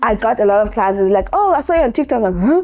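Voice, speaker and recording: Here is a woman with an ordinary speaking voice. Her pitch sits fairly high. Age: 30s. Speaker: makeup artist and beauty educator. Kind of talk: casual talk to camera. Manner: conversational, with many fillers.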